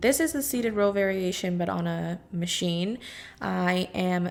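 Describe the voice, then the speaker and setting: A woman speaks very slowly at a medium pitch with lively intonation while music plays in the background. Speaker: fitness vlogger. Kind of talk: workout vlog voiceover. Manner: casual.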